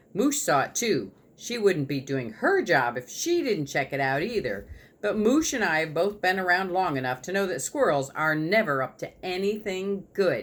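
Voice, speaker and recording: A man does a gruff, put-on character voice at a high pitch. He keeps a moderate pace. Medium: read story.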